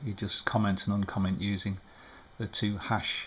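A man mumbles in a fairly low voice over light background noise. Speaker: amateur radio operator. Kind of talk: screen-recorded tutorial narration. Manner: hesitant, mumbling. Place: home room.

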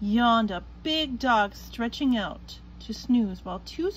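The text is simply read aloud in a plain way.

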